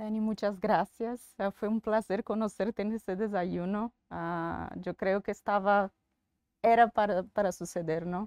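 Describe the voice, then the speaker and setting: Fairly slow, fairly even speech from a woman with a Brazilian accent, medium pitch, dry and close with no echo. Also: quiet background. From Bahia, Brazil. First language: Portuguese (speaking Spanish). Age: 40s. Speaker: bank executive. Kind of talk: interview. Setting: in-person recording. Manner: hesitant.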